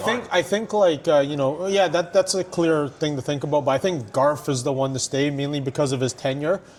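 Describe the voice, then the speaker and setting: A man with an ordinary speaking voice talks at a fairly high pitch, with ordinary pitch variation and hardly any pauses. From Canada. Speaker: ring announcer and hype man. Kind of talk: podcast interview answer. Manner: casual, conversational.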